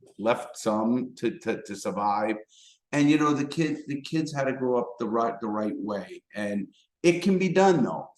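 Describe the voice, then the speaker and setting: Using lively intonation, a man with a medium-pitched voice talks at a fairly slow pace in a strong New York accent. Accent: thick New York. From New York City, the Bronx. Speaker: former criminal turned motivational speaker. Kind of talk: casual interview. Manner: repetitive, stammering starts.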